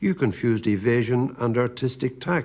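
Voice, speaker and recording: Speaking in a Northern Irish accent, a man talks at a fairly slow pace and medium pitch. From Northern Ireland. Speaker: poet. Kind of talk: poetry reading.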